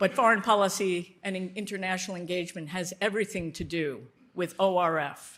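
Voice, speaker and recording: On a very clean recording with a silent background, a normal speaking voice with an American accent carries fairly even intonation. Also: woman, medium pitch for a woman, fairly quick pace. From United States. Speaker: foreign policy expert, board co-chair. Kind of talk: speech at a dinner.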